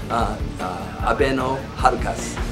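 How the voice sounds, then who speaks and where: Music playing behind a man's voice. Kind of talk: interview answer. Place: hall. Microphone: phone near.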